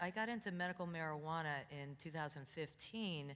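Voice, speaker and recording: Using a normal speaking voice, a woman with a fairly low pitch talks with lively intonation. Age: 60s. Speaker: cannabis wellness educator. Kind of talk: educational talk to audience.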